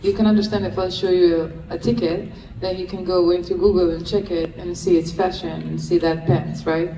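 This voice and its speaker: Over noticeable background noise and audible room echo, a woman with a fairly low voice speaks at a moderate pace in a flat monotone with hardly any pauses. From Israel. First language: Hebrew. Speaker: freed hostage and advocate. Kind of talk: Q&A talk.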